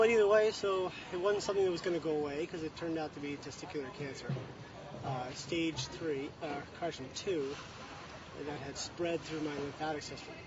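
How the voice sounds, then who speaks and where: Noticeable background noise sits behind a man's voice. He speaks at a fairly quick pace in a fairly high pitch with ordinary variation. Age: 30s. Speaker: cancer survivor and amateur athlete. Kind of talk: interview. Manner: halting.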